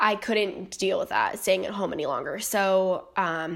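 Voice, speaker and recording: A woman speaks in an unremarkable speaking voice at a medium pitch, with an American accent. Her pace is moderate and her pitch variation ordinary. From North Carolina. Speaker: nursing student, podcast host. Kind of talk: personal monologue podcast. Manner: many filler ums, casual.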